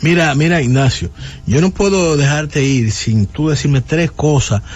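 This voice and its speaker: A man at a moderate pace, lively intonation over noticeable background noise. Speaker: radio host. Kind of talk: radio interview. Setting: studio.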